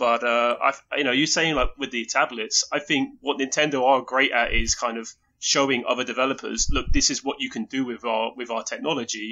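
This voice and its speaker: A man with an English accent, medium pitch, fairly even intonation and a fairly quick pace. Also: hardly any pauses. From England. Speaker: video game enthusiast. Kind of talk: casual chat. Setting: remote call.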